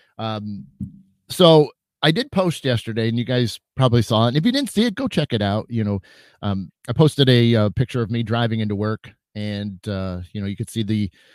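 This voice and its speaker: A man's animated, energetic, medium-pitched voice at a fairly quick pace with ordinary pitch variation, dry and close with no echo, in a very clean recording with a silent background. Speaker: psychic medium hosting a live chat show. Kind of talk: casual livestream chat with viewers. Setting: live video stream with chat.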